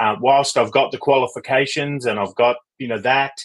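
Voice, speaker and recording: A man with an Australian accent at a moderate pace. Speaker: leadership coach. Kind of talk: interview.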